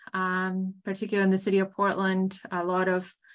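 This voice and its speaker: A bright, sharp tone comes through at a moderate pace against a quiet background. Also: woman. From Canary Islands, Spain. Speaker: state government economic development official. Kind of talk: conference presentation. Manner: halting, many fillers.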